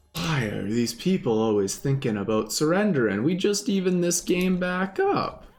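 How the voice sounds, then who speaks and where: A high-pitched man at a moderate pace with very wide pitch swings, very even loudness, hardly any pauses and music in the background. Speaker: gaming streamer. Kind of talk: live gameplay commentary.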